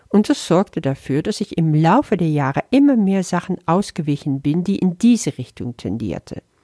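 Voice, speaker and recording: A woman with a Dutch accent speaks in a fairly low, dark and mellow voice with very wide pitch swings and hardly any pauses. The recording is very clean with a silent background, and the sound is dry and close with no echo. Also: moderate pace. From Netherlands, moved to Flanders, Belgium at 12. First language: Dutch (speaking German). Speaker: spiritual teacher. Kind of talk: spiritual lesson talk.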